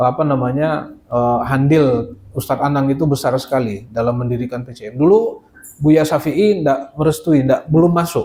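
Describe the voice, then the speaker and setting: A man with a Minangkabau accent speaks at a fairly high pitch and a moderate pace. His tone is dark and mellow, with ordinary pitch variation. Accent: Minang. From West Sumatra, Padang. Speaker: Islamic boarding school teacher and administrator. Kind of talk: informal presentation to visiting delegation. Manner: hesitant, many fillers.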